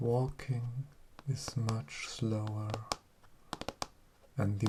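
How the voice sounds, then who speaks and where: A gentle voice moves at a very slow pace against noticeable background noise. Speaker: tech reviewer making ASMR storytelling video. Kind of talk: ASMR storytelling review, sleep-style story. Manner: gentle, slow, relaxing.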